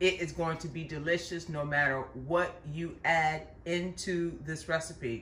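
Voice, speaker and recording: A woman's fairly low voice with an American accent, with audible room echo. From US Midwest. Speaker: cooking channel host. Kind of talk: cooking tutorial. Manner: warm, chatty.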